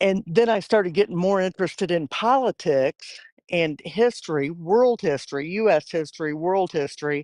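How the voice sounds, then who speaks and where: Against a quiet background, the speaker moves at a moderate pace with hardly any pauses. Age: 60s. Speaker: union member. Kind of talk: casual interview.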